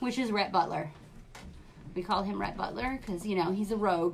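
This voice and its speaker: Through noticeable background noise, a woman with an American accent speaks at a moderate pace with lively intonation. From New York. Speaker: craft supply seller. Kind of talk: live stream product showcase. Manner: animated.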